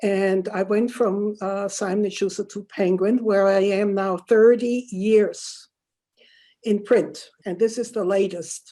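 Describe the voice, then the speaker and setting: Her dark, mellow tone carries a German accent and fairly even intonation. The woman is heard on a very clean recording with a silent background. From Germany, Württemberg. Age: 80s+. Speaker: Holocaust survivor and author. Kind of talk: interview. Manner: halting.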